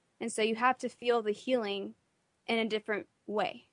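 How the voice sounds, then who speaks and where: In an American accent, a woman talks at a fairly high pitch with fairly even intonation. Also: dry, close sound with no echo, quiet background. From Texas. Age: 20s. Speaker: patient sharing illness story. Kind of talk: interview testimony. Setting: radio studio.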